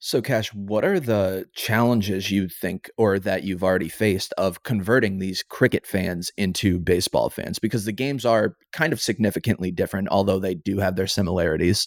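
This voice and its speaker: Speaking at a moderate pace with hardly any pauses, a man uses a normal speaking voice, fairly low in pitch with ordinary pitch variation, in a dry, close recording with no echo. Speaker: podcast host. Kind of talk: casual interview.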